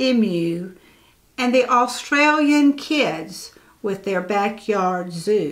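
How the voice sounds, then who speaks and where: A woman sings out her words in a sing-song way at a very slow pace. Her tone is gentle and soothing, her pitch fairly high. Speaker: church storyteller. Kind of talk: bedtime story reading aloud to children, rhyming picture book. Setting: video recording for church channel. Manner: gentle, slow, soothing sing-song cadence; warm and playful, lightly animated. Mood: gentle, expressive. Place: home room. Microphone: lapel.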